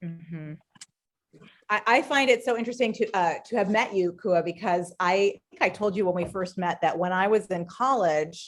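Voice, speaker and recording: Using a normal speaking voice, a woman with an American accent talks at a moderate pace and medium pitch with ordinary pitch variation. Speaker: writer and life coach. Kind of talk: casual interview conversation.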